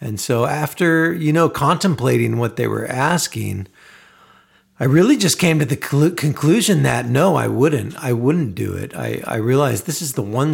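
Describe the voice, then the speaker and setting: At a moderate pace, a man of medium pitch speaks with vocal fry and ordinary pitch variation. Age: 40s. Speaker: podcast host and aspiring songwriter. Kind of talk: solo podcast monologue. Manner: halting, many fillers.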